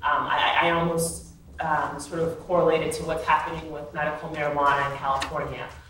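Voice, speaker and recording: Amid noticeable background noise and audible room echo, a woman speaks at a moderate pace in a very deep, low pitch with monotone, flat intonation. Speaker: regulatory consultant panelist. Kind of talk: panel discussion. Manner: halting with many fillers.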